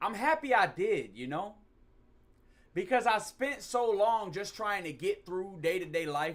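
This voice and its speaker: Intonation stays lively while the pace holds moderate. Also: man. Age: 20s. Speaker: streamer. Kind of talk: casual live stream chat. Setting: at home.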